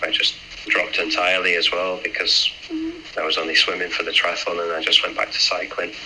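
Noticeable noise sits in the background. The speech moves at a fairly quick pace. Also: man. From northern England. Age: 30s. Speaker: aerospace engineer and amateur triathlete. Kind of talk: casual interview.

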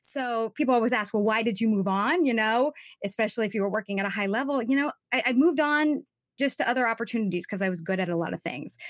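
A woman with an American accent talks at a very fast pace. Her pitch is fairly high and her intonation lively. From Southern California (Orange County). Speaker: social media coach for actors. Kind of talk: interview.

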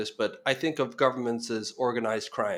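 A man with a Norwegian accent at a moderate pace. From Norway. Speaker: founder of investment migration publication. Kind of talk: casual interview. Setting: video call.

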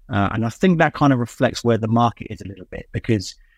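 In a quiet background with a dry, close sound and no echo, a man talks at a very fast pace with ordinary pitch variation. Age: 50s. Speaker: tech company CEO. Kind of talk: interview.

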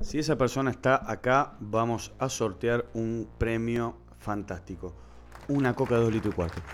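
Using an ordinary speaking voice, a man talks at a fairly slow pace and a medium pitch, with ordinary pitch variation. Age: 30s. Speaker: podcast co-host. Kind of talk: casual chat.

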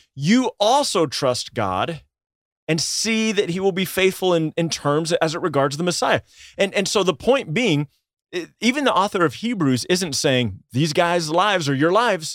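This man has a high pitch and lively intonation, speaking at a moderate pace. The recording is very clean, with a silent background. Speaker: pastor. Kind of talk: casual chat about scripture. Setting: studio. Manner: animated.

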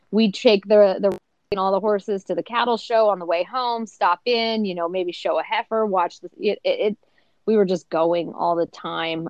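An unremarkable speaking voice, this woman talks at a fairly slow pace and medium pitch, with fairly even intonation and an American accent. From US Midwest, northeastern Kansas. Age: 20s. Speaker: TV host and former rodeo athlete. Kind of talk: casual interview.

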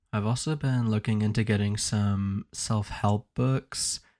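A man's ordinary speaking voice, fairly low in pitch, at a fairly slow pace. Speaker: podcast host. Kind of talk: solo podcast monologue.

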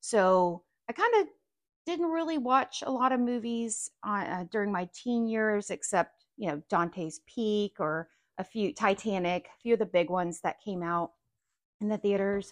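In a plain, everyday voice, a woman at medium pitch talks at a moderate pace with lively intonation and big swings in loudness, the sound dry and close with no echo and the background quiet. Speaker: parent. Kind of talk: casual chat.

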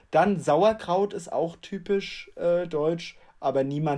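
A man with a high pitch speaks in a dark, mellow tone, with ordinary pitch variation. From Germany. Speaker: podcast co-host. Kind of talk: casual chat.

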